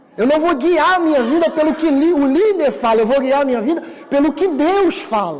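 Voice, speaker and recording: Audible room echo, noticeable background noise and ordinary pitch variation. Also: man. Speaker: pastor. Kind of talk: sermon.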